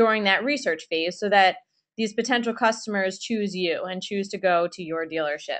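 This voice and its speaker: A woman talks fairly quickly, her pitch varying in an ordinary way, with a quiet background. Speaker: social media trainer. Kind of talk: webinar presentation. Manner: fast.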